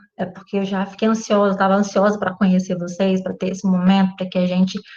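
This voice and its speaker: This woman's voice is somewhat breathy. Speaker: physics teacher. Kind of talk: online class introduction.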